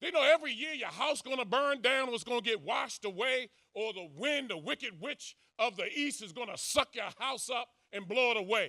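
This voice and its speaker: A man with an extremely high pitch speaks in a raised, projected voice with a bright, sharp, animated tone and lively intonation. His pace is moderate, and the sound is dry and close with no echo. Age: 60s. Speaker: social commentator. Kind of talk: speech to audience.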